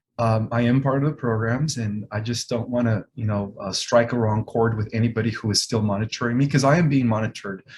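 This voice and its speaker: A man at medium pitch, very fast with hardly any pauses, somewhat breathy, with fairly even intonation. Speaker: author and spiritual speaker. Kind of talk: interview. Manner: authoritative.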